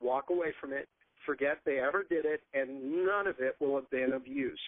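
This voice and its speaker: Lively intonation colors a man's plain, everyday voice. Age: 60s. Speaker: homeschool curriculum author. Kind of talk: podcast talk on education.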